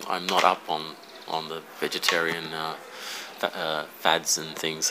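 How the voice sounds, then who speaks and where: A man with an Australian accent speaks at a very slow pace over noticeable background noise. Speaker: angler. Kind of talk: casual chat. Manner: halting.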